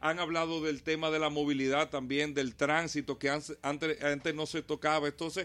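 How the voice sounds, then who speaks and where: This is a man with a fairly high pitch and an ordinary speaking voice, talking at a fairly quick pace. The recording is very clean, with a silent background. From Dominican Republic, Santo Domingo. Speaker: mayoral candidate and automotive radio host. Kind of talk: radio interview.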